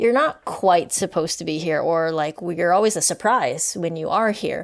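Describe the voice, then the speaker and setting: In a very clean recording with a silent background, a woman with a normal speaking voice talks at a moderate pace, her fairly low pitch showing ordinary variation. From Canada, Vancouver area (BC). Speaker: professor and author. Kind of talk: interview conversation. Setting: podcast recording.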